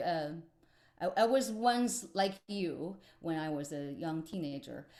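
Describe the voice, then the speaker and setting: A woman talks at a very slow pace. She has a Chinese accent. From China, Beijing. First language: Mandarin Chinese. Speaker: musician. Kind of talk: workshop presentation. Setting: video call. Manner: halting, many fillers.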